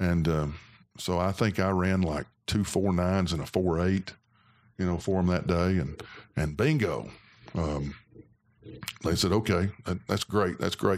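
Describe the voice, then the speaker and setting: In an Alabama accent, a man with a very deep, low pitch speaks at a fairly slow pace with long, frequent pauses, very even loudness and ordinary pitch variation, on a very clean recording with a silent background. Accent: US Southern (Alabama). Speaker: former college football player. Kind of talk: casual interview. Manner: halting.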